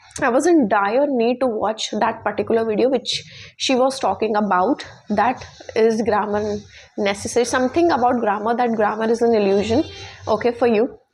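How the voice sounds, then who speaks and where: Over noticeable background noise, the voice holds a very even loudness with ordinary pitch variation. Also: woman, fairly high pitch for a woman, moderate pace. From India. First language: Hindi. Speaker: English teaching YouTuber. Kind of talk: tutorial. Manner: halting, with many fillers and restarts.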